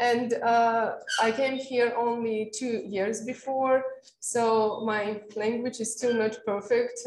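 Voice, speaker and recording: A woman with a Russian accent, fairly high in pitch, amid audible room echo. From Russia, Caucasus region. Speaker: meteorologist and mountain guide. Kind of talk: seminar talk. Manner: halting, many fillers and restarts.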